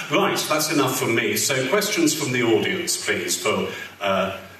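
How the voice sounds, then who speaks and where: A man talks at a very slow pace. Audible room echo and light background noise are present. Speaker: convention interviewer. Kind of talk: interview on stage. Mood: cheerful, animated. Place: hall.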